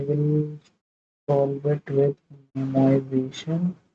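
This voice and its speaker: Very slowly, a man with a fairly high, somewhat breathy voice and a dark, mellow tone speaks in a dry, close sound with no echo. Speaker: student live-streaming coding practice. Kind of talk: live stream coding tutorial with chat. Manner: hesitant, many fillers. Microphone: audio cracking.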